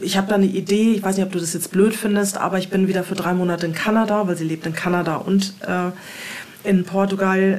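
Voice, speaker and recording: A woman at a fairly quick pace, monotone and flat in intonation, over noticeable background noise. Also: medium pitch for a woman. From Hamburg, northern Germany. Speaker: former alcoholic and emigrant. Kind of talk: interview. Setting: home studio.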